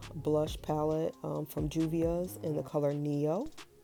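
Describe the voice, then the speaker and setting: Music plays behind the speaker. A woman talks at a fairly slow pace. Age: 30s. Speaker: aspiring makeup artist. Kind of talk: makeup tutorial talk to camera.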